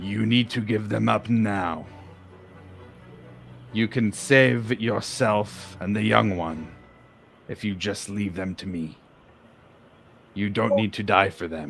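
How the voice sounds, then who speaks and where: Using a put-on character voice, a man talks at a fairly slow pace with a raspy, fairly low pitch and long, frequent pauses while music plays in the background. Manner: persuasive, intelligent, not animal-like.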